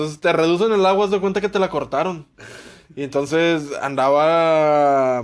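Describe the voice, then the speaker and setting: A man's unremarkable speaking voice, fairly high-pitched, at a fairly slow pace with ordinary pitch variation. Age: 20s. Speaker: podcast co-host. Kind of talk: casual chat.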